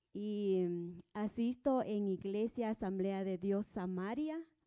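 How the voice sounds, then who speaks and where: A woman's dark, mellow tone at a medium pitch, very slow pace and ordinary pitch variation. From Guatemala, Sololá highlands. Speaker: church singer. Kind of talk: testimony.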